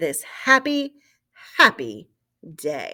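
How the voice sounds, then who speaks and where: A woman uses a put-on character voice. She speaks at a very slow pace. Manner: joyful, gleeful.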